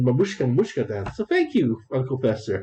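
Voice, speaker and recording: A man speaks at a fairly quick pace with a medium pitch. His voice is somewhat breathy, with a dark, mellow tone. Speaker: gaming streamer. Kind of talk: gameplay commentary. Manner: halting.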